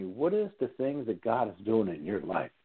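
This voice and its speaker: A man talks at a moderate pace with an American accent. His voice is an unremarkable speaking voice at medium pitch. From US Northeast. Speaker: radio host. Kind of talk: radio interview. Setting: studio.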